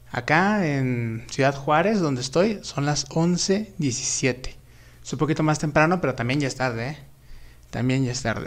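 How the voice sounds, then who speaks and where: At a fairly slow pace, a man speaks in a fairly high pitch. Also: ordinary pitch variation. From Mexico. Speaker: YouTuber film commentator. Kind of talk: live stream chat about films. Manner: casual, with many fillers. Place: home room.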